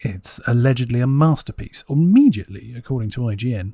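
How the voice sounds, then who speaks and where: A man's somewhat breathy voice with a dark, mellow tone, medium pitch, ordinary pitch variation and moderate pace. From England. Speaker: gaming YouTuber. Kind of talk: let's play commentary. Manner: animated; halting.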